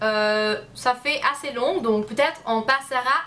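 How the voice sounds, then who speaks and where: A woman's raised, projected voice with an English accent at a very slow pace. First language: English (speaking French). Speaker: youtuber. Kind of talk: casual chat. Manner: halting.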